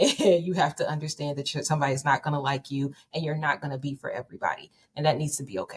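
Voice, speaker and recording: A woman talks at a very fast pace. Her voice is somewhat breathy and very deep, low in pitch. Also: fairly even intonation. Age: 30s. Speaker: author and speaker. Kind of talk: podcast interview. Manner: confident.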